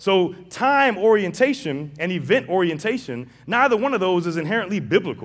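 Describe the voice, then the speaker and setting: With an American accent, a man speaks in an animated tone at a high pitch, his intonation lively and hardly any pauses between words. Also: moderate pace. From St. Louis, Missouri (west/north side). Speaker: guest preacher, seminary professor. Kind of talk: sermon. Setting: church with congregation.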